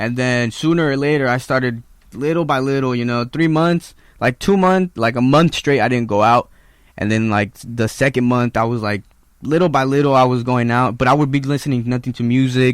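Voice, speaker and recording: A man with a Spanish accent speaks at a fairly quick pace. His pitch is medium and his intonation fairly even. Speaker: musician. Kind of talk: casual interview.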